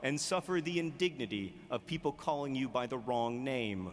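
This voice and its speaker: A man talks at a moderate pace with a medium pitch. It is an ordinary speaking voice. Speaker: author. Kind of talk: commencement speech.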